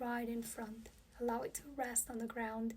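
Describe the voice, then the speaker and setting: A woman speaks in a calm tone with a Spanish accent. Her voice is high-pitched. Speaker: yoga teacher. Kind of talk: guided yoga class. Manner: calm, instructive.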